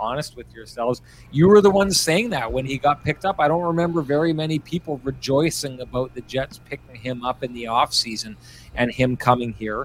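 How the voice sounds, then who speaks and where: The speaker has a Manitoban accent. Delivery is fairly quick, with ordinary pitch variation. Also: man. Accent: Canadian (Manitoba). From Manitoba, Canada. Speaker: hockey podcast host. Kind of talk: post-game sports talk.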